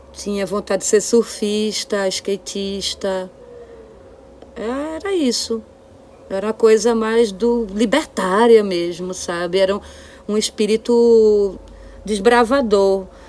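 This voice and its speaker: A woman with a fairly high voice speaks at a very slow pace with long, frequent pauses and ordinary pitch variation, over noticeable background noise. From Brazil, Olinda (Pernambuco). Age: 40s. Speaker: singer-songwriter and visual artist. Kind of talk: casual chat. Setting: home studio, remote recording.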